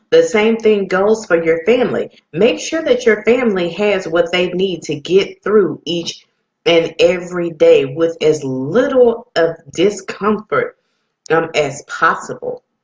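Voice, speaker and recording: With lively intonation, a woman talks at medium pitch in a normal speaking voice. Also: fairly slow pace. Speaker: radio host. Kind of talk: radio talk, motivational business advice. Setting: live radio and online stream.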